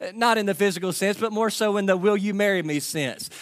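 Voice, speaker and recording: A man with a Kentucky accent speaks at a fairly quick pace in a high pitch. His intonation stays fairly even. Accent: Kentucky Southern US. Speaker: pastor. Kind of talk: sermon. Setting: church.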